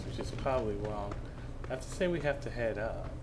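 Fairly quick speech from a man at medium pitch with noticeable background noise. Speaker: gaming YouTuber. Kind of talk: casual gameplay commentary. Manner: casual, filler-heavy, halting.

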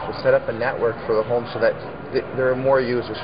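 Background noise is clearly audible. A man does the talking. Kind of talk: interview answer. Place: shop. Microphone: lapel.

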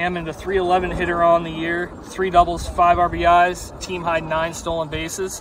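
A man with an American accent speaks fairly slowly at a high pitch, monotone and flat. The sound is dry with no echo, though background noise is noticeable. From US Mid-Atlantic. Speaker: high school sports commentator. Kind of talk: live commentary. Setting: outdoors. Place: stadium.

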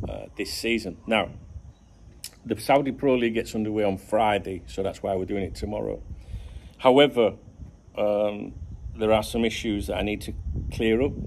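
With vocal fry and a fairly low pitch, a man talks at a moderate pace with fairly even intonation and long, frequent pauses over light background noise. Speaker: football channel vlogger. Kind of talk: casual vlog chat. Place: garden. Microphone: phone near.

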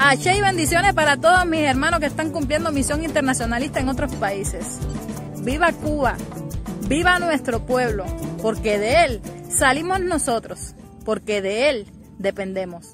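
Clear music plays in the background. Over it, a woman speaks at a high pitch. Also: moderate pace, dry sound with no echo. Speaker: vlogger abroad on mission. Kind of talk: casual vlog chat. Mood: earnest, patriotic, nostalgic. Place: open country. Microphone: phone near.

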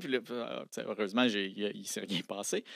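Recorded dry with no echo against a quiet background, a man speaks at a fairly quick pace. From Quebec City area, Quebec; Quebec. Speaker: science popularizer, lawyer and engineer; lawyer. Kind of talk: casual interview. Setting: studio. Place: studio. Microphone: studio mic.

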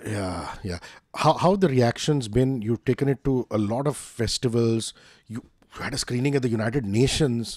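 A man with an Indian accent talks at a moderate pace with ordinary pitch variation. The recording is dry, with no echo. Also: quiet background. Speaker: interviewer. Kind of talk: casual interview. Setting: video call. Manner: animated. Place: home room. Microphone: studio mic.

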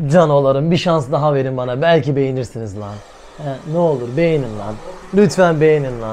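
The voice has an animated tone, ordinary pitch variation and a fairly quick pace. Audible room echo and noticeable background noise fill the recording. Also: man. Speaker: vlogger. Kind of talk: casual vlog talk.

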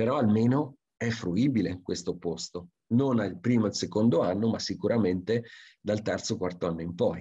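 The speaker has a dark, mellow tone, somewhat breathy, at a moderate pace. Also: man, quiet background. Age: 50s. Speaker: forester; presenter. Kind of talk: lecture. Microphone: video call.

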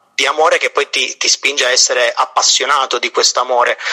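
Music plays in the background as a man speaks at a fairly quick pace, the sound dry and close with no echo. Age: 20s. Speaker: prenovice in a religious order. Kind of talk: casual chat.

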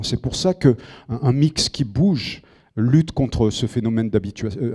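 A man's dark, mellow, somewhat breathy voice with lively intonation over a quiet background. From southern France. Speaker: film composer. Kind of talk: lecture. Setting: auditorium with audience. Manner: halting. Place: hall. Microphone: handheld.

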